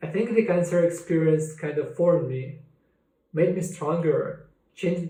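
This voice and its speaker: In audible room echo, a man with a Russian accent speaks fairly slowly at a high pitch with fairly even intonation. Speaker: cancer survivor sharing his story. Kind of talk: personal testimony.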